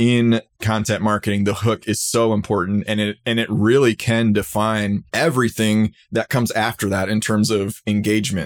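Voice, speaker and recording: A man with a normal speaking voice speaks at a moderate pace and a fairly low pitch with fairly even intonation, in a very clean, dry, close recording with a silent background and no echo. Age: 30s. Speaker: higher ed marketing podcaster. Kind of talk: casual interview chat.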